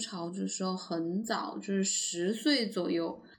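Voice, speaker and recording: A woman speaks very slowly, her pitch rising and falling in an ordinary way. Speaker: podcast co-host. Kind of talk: casual chat.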